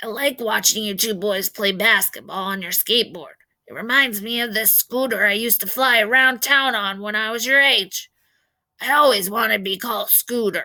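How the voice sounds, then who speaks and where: Using a raspy put-on character voice, a woman speaks at a fairly high pitch and moderate pace. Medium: read story. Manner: warm, joking.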